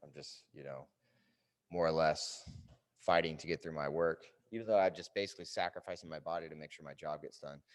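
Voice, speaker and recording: A man's very deep, low voice moving at a fairly quick pace. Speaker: fitness coach. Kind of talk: tutorial. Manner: casual, hesitant with fillers.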